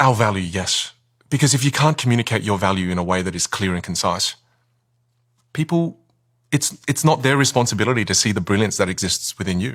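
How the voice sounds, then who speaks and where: This man with an Australian accent talks at a fairly quick pace in a fairly low pitch, his intonation lively. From Australia, Vietnamese-Chinese family. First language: Chinese dialect, then Vietnamese. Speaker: communication coach. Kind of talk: podcast interview. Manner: halting, repeats words.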